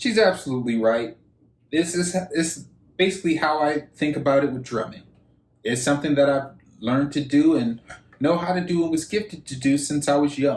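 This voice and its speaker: This man talks at a fairly quick pace, and his voice is somewhat breathy. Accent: American. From Michigan, Detroit. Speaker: YouTuber, reaction video host. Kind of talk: reaction commentary.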